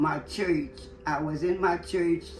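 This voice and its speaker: Over music in the background, the speaker talks at a very slow pace with a New Orleans accent. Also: woman. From New Orleans, Louisiana. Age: 80s+. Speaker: retired businesswoman. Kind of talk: interview answer, reminiscing.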